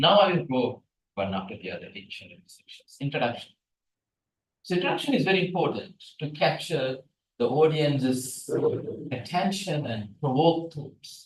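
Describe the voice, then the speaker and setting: A man with a Tamil accent speaks at a moderate pace and a fairly high pitch, with vocal fry and lively intonation. His loudness swings widely, and he takes long, frequent pauses. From Sri Lanka. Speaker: research scientist, guest lecturer. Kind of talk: lecture. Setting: lecture hall, hybrid. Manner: animated, interactive.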